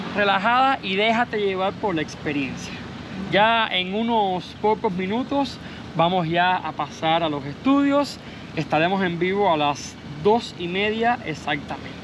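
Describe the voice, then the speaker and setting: Despite noticeable background noise, the sound is dry with no echo as a man speaks at a high pitch and a fairly slow pace with lively intonation. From Cuba. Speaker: YouTuber. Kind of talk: vlog narration. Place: street. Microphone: phone near.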